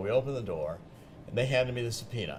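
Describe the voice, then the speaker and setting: Noticeable noise sits behind a man who talks very fast. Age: 70s. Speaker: author and investigative journalist. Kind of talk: TV interview.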